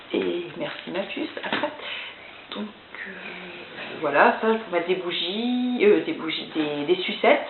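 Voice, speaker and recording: Over noticeable background noise and audible room echo, a woman talks at a very slow pace with very wide pitch swings. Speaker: youtuber and bride-to-be showing wedding decorations. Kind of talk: casual vlog. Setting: at home. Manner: hesitant.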